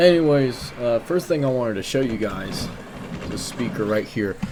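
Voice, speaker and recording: A man at a moderate pace with ordinary pitch variation and noticeable background noise. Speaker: gaming commentator. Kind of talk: casual gameplay commentary. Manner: hesitant, stuttering.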